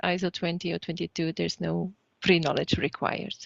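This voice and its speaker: Speaking at a fairly quick pace, a woman with a Flemish accent has a fairly low pitch. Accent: Flemish Dutch-accented English. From Flanders, Belgium. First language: Dutch. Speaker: trainer. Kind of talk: online training session.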